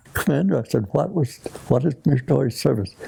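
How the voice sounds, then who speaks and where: The talking comes at a fairly quick pace in an American accent. Noticeable background noise is present. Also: man. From Arizona, US. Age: 80s+. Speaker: war veteran. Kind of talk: interview answer.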